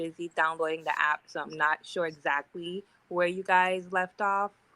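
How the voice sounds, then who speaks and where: A woman with a slight Virgin Islands accent, fairly low pitch and a bright, sharp tone speaks at a moderate pace with monotone, flat intonation. The recording is very clean, with a silent background and a dry, close sound with no echo. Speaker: caller. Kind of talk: casual chat.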